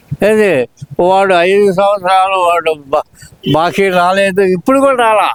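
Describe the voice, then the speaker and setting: A man with a high pitch talks with ordinary pitch variation and very even loudness. The sound is dry and close with no echo, and there is noticeable background noise. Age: 80s+. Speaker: pensioner interviewed on the street. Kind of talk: street interview. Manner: halting.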